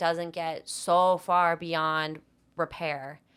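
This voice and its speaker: In a Boston accent, a woman talks with a fairly low pitch. Her intonation is monotone and flat, and the recording is very clean with a silent background. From Massachusetts, North Attleboro (Boston area). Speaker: co-founder of an ice cream company. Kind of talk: podcast interview.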